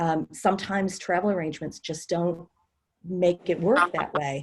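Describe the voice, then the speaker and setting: Fairly even intonation and a moderate pace mark a plain, everyday voice. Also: woman, fairly low pitch for a woman. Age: 60s. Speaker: experienced house sitter and author. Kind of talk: casual group discussion.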